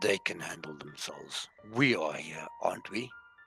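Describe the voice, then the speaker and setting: With faint music in the background, a put-on character voice goes at a moderate pace. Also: man, medium pitch for a man. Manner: firm, assertive.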